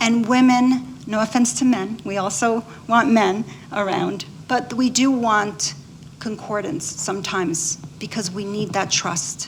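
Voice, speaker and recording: Through noticeable background noise, a woman speaks at a fairly slow pace in a fairly high pitch with lively intonation. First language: Spanish. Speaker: physician. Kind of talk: panel discussion.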